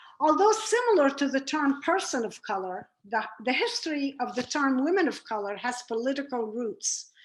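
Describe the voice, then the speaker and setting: High-pitched female voice, moderate pace, very wide pitch swings. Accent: Lebanese. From Lebanon, Beirut. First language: Arabic. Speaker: former FBI unit chief, speaker. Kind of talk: presentation talk.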